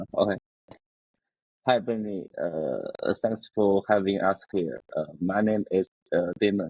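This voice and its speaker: With a Chinese accent, a man speaks at a very slow pace, leaving long, frequent pauses. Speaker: startup founder. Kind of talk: interview. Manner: halting.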